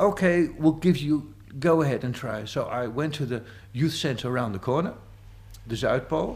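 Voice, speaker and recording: With a Dutch accent, a man talks at a moderate pace in a fairly high, somewhat breathy voice with ordinary pitch variation. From Amsterdam, Netherlands. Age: 50s. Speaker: psychiatric nurse and community volunteer. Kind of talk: interview testimony.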